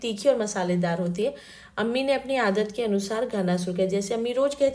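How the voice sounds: Just a natural reading voice.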